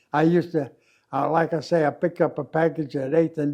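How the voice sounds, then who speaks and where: A man speaks with a Midwestern American accent. His pace is fairly quick and his intonation monotone and flat. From Kansas City, Missouri. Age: 80s+. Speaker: war veteran. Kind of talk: interview answer.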